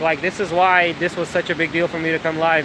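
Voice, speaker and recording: A man talks fairly quickly while noticeable background noise carries on around him. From Ukraine. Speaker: coffee business owner. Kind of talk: live stream chat. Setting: outdoors. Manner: hesitant, many fillers.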